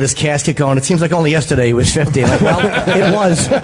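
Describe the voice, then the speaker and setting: A man talks in a fairly high voice. Noticeable background noise runs underneath. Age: 40s. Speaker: radio co-host. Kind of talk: casual chat.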